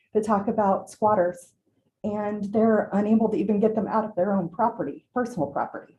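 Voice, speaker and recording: A woman speaks with an American accent at a moderate pace. Her fairly high voice is somewhat breathy, with a dark, mellow tone. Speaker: small business owner. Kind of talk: public comment at council meeting. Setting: city council chamber. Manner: halting.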